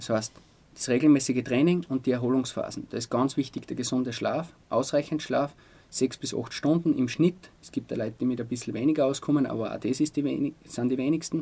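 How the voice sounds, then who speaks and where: A man's dark, mellow voice at a fairly quick pace, with fairly even intonation. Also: medium pitch for a man. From Austria, Styrian Salzkammergut (Altaussee). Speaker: sports physician. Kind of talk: interview. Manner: hesitant, many fillers.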